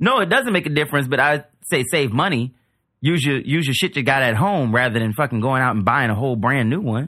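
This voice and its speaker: A man with an American accent at a fairly quick pace, with ordinary pitch variation over a quiet background. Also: medium pitch for a man. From US South, New Orleans. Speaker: comedian. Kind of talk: casual chat.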